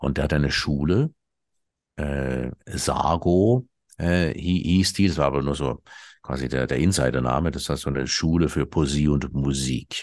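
Over a quiet background, a man speaks with vocal fry at a very deep, low pitch and ordinary pitch variation. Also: moderate pace. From Switzerland. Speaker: satirist and ex-cabaret artist. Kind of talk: interview conversation.

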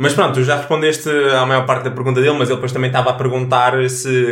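A man of medium pitch speaks in a European Portuguese accent. Audible room echo and noticeable background noise are present. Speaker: podcast co-host. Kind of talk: casual chat.

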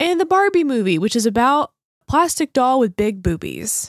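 With an American accent, a woman in a plain, everyday voice speaks at a moderate pace with lively intonation, in a very clean recording with a silent background and a dry, close sound with no echo. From US South. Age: 30s. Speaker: podcast co-host. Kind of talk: casual chat.

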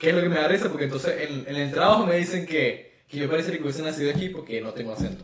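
Very fast talk from a man with a fairly high pitch and ordinary pitch variation. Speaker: podcast co-host. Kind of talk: casual chat.

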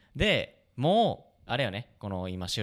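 A man at a fairly slow pace and fairly low pitch, in a very clean recording with a silent background. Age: 20s. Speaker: band musician and podcast host. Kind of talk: casual chat. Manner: animated.

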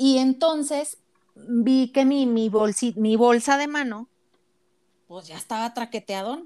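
This woman has a high pitch and a dark, mellow tone, with ordinary pitch variation. She talks at a fairly slow pace with long, frequent pauses. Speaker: podcast co-host. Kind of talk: casual chat.

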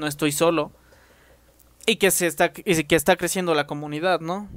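A man speaks at a moderate pace with a Mexican accent. His pitch is high. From Mexico. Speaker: YouTuber and podcaster. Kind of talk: casual chat.

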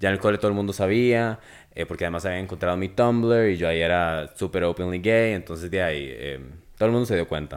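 Over a silent background in a very clean recording, a man speaks very fast in a very deep, low pitch with ordinary pitch variation. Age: 20s. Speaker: drag performer. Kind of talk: casual chat.

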